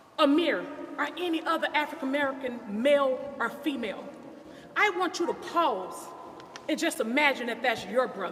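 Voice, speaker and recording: Audible room echo surrounds a woman speaking. Her pitch is high and her pace moderate. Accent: Southern US. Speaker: family friend. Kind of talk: press conference statement. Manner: emphatic.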